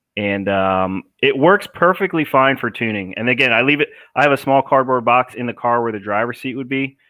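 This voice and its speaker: With an American accent and lively intonation, a man at medium pitch talks with hardly any pauses. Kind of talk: live stream Q&A. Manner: casual, filler-heavy.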